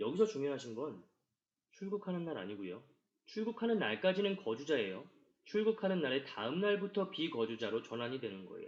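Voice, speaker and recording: A man talks at a fairly quick pace in a fairly high pitch. His voice shows very wide pitch swings and big swings in loudness. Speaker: tax accountant lecturer. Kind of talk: lecture. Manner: fast.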